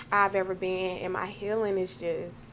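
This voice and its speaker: A woman with an American accent in an ordinary speaking voice, medium pitch, and moderate pace. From US South, Georgia. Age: 30s. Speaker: podcast co-host. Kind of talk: casual chat.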